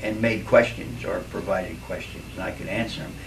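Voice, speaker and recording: A man talks at a moderate pace with an American accent. Noticeable background noise and audible room echo are present. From Philadelphia, Pennsylvania. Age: 60s. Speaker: retired Navy veteran. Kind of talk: recorded life story for family. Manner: casual, reflective, with fillers.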